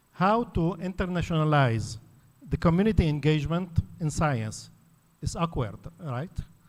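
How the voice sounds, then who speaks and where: A man with an Arabic accent speaks at a moderate pace, his fairly high pitch moving with ordinary variation. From Lebanon. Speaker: academic panelist. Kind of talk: conference talk.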